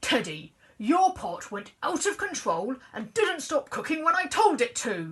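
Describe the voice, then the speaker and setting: A put-on character voice, high in pitch, runs at a moderate pace with hardly any pauses. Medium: read story.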